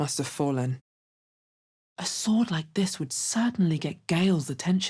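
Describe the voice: A woman does a put-on character voice, low in pitch with a dark, mellow tone and a slightly husky edge. She speaks at a fairly slow pace with lively intonation.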